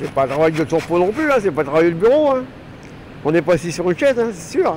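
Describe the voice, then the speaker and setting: Noticeable background noise accompanies a man speaking at a high pitch. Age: 60s. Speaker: retired factory worker and trainer. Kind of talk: interview. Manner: casual, halting.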